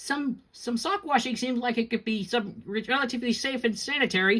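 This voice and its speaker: This is a put-on character voice with a nervous tone. It sits at a fairly high pitch and moves at a moderate pace. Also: female-sounding voice. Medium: read story. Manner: nervous, fretful.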